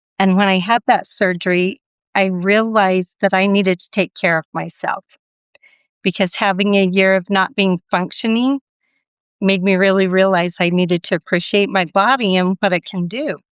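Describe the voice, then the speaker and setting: A woman's plain, everyday voice at medium pitch, moderate in pace and fairly even in intonation, with a dry, close sound with no echo over a quiet background. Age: 60s. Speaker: bariatric surgery patient. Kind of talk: interview testimony.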